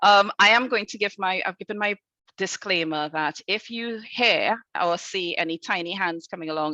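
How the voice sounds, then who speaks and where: In a Trinidadian accent, a woman speaks at a moderate pace with a bright, sharp tone and ordinary pitch variation, in a dry, close sound with no echo. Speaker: head teacher. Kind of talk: conference talk. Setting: video call from school.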